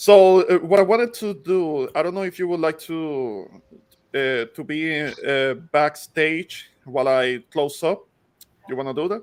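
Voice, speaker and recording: A man with a Puerto Rican accent speaks at a fairly slow pace in a fairly high pitch, his intonation lively. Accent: Puerto Rican accent, recognizable. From Puerto Rico. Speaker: online show host. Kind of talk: casual panel chat. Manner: halting, many fillers.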